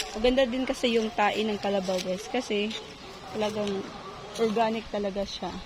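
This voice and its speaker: A woman's fairly high, monotone, flat voice at a moderate pace, broken by long, frequent pauses, with audible room echo and noticeable background noise. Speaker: vlogger, ESL teacher and home gardener. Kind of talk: casual garden vlog. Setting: outdoors in garden. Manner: casual, halting with fillers.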